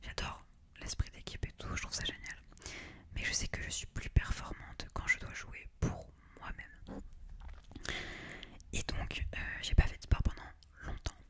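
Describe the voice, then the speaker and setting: A woman whispers at a fairly slow pace, leaving long, frequent pauses. Her loudness swings widely, and there is noticeable background noise. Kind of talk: ASMR whispered talk to camera. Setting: close-mic studio recording. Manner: whispered.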